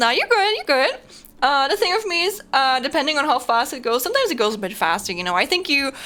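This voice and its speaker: A woman talks at a very fast pace in a high pitch. Her voice is raised and projected. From Germany. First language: German. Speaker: streamer. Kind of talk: casual live stream chat. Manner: halting, many fillers and repetitions.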